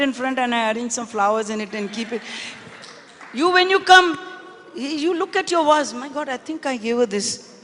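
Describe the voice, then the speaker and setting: Noticeable background noise sits behind a woman with a high pitch. She talks at a fairly quick pace with lively intonation. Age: 70s. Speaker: business leader and philanthropist. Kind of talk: panel interview on stage.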